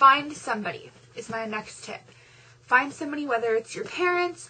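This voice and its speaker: A woman's raised, projected voice at a moderate pace, with ordinary pitch variation. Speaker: vlogger. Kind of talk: pep talk to fellow novel writers, chatty and encouraging, direct address to camera. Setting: video blog. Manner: animated, conversational, reassuring, with fillers and self-deprecating asides. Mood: encouraging, upbeat pep talk. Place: home room. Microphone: webcam.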